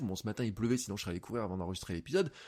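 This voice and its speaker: An energetic tone comes through on a very clean recording with a silent background. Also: man. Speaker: podcast host and coach. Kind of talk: solo podcast monologue. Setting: home office, untreated room. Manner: fast.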